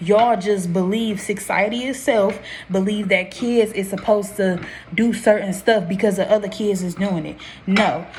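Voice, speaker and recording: This woman's intonation is fairly even, and her speech carries audible room echo along with noticeable background noise. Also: medium pitch for a woman. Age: 20s. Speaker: vlogger, young mother. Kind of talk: casual vlog talk to camera. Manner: fast; rambling with self-corrections.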